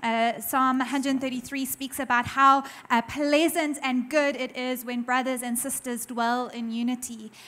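The woman has a high pitch and a bright, sharp tone. She talks at a fairly slow pace in a monotone, flat intonation. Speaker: pastor's wife, guest speaker. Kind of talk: warm greeting. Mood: warm, grateful. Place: church. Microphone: handheld.

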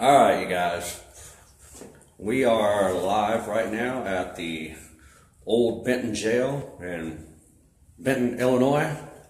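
A man speaks at a very slow pace, with long, frequent pauses. His pitch varies in an ordinary way, and the room echo is audible. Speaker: live streamer. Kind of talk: casual live stream chat. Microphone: phone near.

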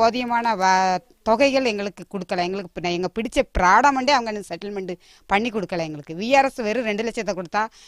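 A plain, everyday voice with ordinary pitch variation, recorded very cleanly against a silent background, the sound dry and close with no echo. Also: woman. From Manjolai tea estate, Tirunelveli district, Tamil Nadu. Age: 50s. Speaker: tea estate worker. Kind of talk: interview testimony.

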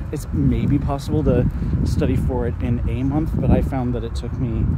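Loud background noise sits behind a man's voice. He speaks at a fairly slow pace in a dry sound with no echo. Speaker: fitness vlogger. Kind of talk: casual vlog chat. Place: street. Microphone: phone near.

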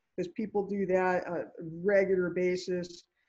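Against a quiet background, a woman with a dark, mellow tone speaks fairly quickly with fairly even intonation. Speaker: attorney. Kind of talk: panel discussion. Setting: video call. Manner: fast. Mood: advisory, earnest. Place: office. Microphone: video call.

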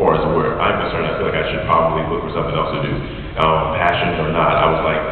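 Over light background noise, a man's voice carries strong room echo. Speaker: guest. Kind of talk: interview answer. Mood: candid, reflective. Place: hall. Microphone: pa.

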